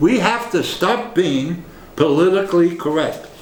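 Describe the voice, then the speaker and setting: A man with an American accent and a high pitch speaks at a fairly slow pace with lively intonation, amid audible room echo and noticeable background noise. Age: 70s. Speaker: political commentator. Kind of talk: political monologue.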